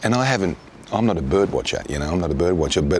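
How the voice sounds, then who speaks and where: A man speaks with very wide swings in pitch over noticeable background noise. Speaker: travel documentary presenter. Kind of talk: documentary narration; on-location interview.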